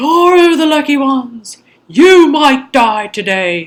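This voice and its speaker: Using a put-on character voice, a woman speaks high-pitched at a fairly slow pace with very wide pitch swings. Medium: read story. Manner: weary, bitter, mournful.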